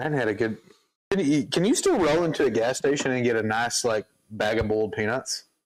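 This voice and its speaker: A man speaks at a very fast pace in a medium pitch. His loudness stays very even, and his pitch varies in an ordinary way. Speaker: home brewing show co-host. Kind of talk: casual chat. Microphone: mic moved far from his mouth.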